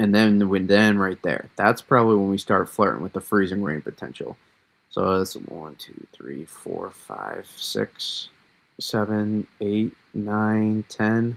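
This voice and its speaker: With a Massachusetts accent, a man speaks at a very slow pace, with ordinary pitch variation and big swings in loudness. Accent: Massachusetts accent, drops Rs. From Massachusetts, US. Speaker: weather livestreamer. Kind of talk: live weather analysis. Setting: livestream. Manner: casual, many fillers.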